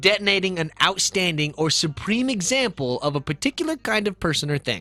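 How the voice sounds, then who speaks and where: With music in the background, a man talks at a moderate pace in a dry, close sound with no echo. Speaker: podcast host and streamer. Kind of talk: casual chat.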